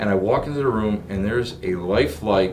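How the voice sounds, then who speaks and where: A man speaks fairly quickly in an excited tone at medium pitch, with lively intonation. Music plays in the background amid audible room echo. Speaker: podcast host. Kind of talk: casual interview. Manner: stuttering, excited.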